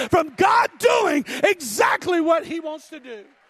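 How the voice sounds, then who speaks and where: Shouting in an animated tone, a man's voice hits an extremely high pitch, with a dry, close sound, no echo, and noticeable background noise. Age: 40s. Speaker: preacher. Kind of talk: sermon. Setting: church with congregation. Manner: animated, exhorting the congregation, call-and-response; fervent, rhythmic.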